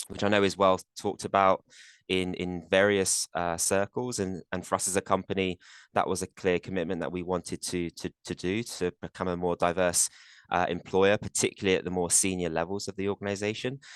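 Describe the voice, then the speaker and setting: Speaking fairly quickly in a monotone, flat delivery, a man with a British accent has a very deep, low pitch and a dry, close sound with no echo. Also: quiet background. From UK. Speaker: corporate compensation executive. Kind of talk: webinar panel talk. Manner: hesitant, many fillers and repeats.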